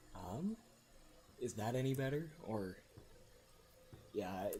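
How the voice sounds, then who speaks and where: A soft-spoken man talks with audible room echo around him. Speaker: gaming streamer. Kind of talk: live gameplay commentary. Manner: halting.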